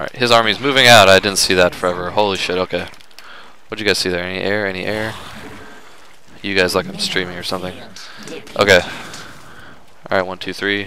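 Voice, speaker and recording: A man speaks at a very fast pace in a very deep, low pitch, with big swings in loudness. He leaves long, frequent pauses amid noticeable background noise. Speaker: gaming commentator playing Starcraft. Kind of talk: live gameplay commentary, narrating his own play as he goes. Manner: animated, excitable, fast, reacting out loud; casual, joking, self-talking, swears.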